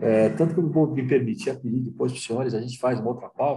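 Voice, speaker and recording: Using a dark, mellow tone and vocal fry, a man speaks at a medium pitch. His intonation is lively, and his pace is moderate. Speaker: talk show host, federation president. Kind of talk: panel discussion.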